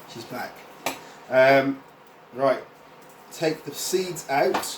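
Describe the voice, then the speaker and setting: A man's fairly high voice at a very slow pace, with fairly even intonation and noticeable background noise. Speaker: cooking instructor. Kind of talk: cooking tutorial. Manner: casual.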